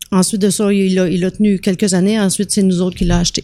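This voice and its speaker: Speaking in a Quebec accent, a woman has a medium pitch, a dark, mellow tone and monotone, flat intonation. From Quebec, Trois-Rivières. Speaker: restaurant entrepreneur. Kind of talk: casual chat.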